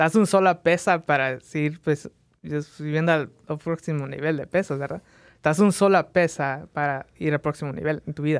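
A man's unremarkable speaking voice, fairly high-pitched, at a moderate pace with fairly even intonation, dry and close with no echo, on a very clean recording against a silent background. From Las Vegas, Nevada (born in Mexico, moved at age 3). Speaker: photographer and content creator. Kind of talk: casual interview. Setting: studio.

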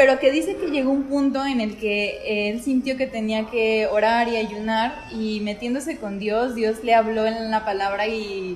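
Over noticeable background noise, a woman with a fairly high pitch talks at a fairly slow pace with hardly any pauses and ordinary pitch variation. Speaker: podcast co-host. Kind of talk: casual chat about faith.

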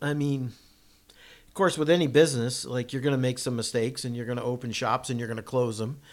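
A man speaks at a fairly quick pace with an American accent, in an ordinary speaking voice. His pitch is medium, with ordinary pitch variation. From Massachusetts. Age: 60s. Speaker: off-road racing driver and builder. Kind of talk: casual interview storytelling. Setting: in a home kitchen.

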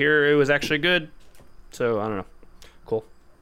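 With lively intonation and medium pitch, a man speaks in a plain, everyday voice. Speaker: podcast host. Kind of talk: casual chat.

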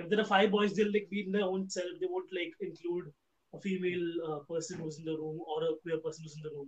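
A man talks in a high voice with fairly even intonation. His pace is very fast. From India, suburban Mumbai. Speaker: stand-up comedian. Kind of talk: casual panel discussion. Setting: online video session.

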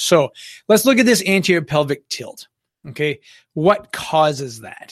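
In a very clean recording with a silent background, a man with a fairly high pitch speaks fairly slowly, his pitch swinging very widely and his loudness shifting greatly. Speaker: physical therapy educator podcast host. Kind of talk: solo educational podcast. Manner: frequent fillers, hesitant.

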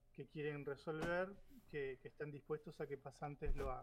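A man with an Argentine accent and fairly even intonation. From Argentina. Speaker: graduate student. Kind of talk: casual chat.

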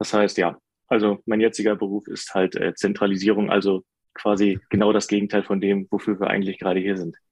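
A man's fairly low voice, monotone and flat, at a fairly quick pace, in a dry, close sound with no echo. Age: 30s. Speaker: IT specialist. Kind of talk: casual chat.

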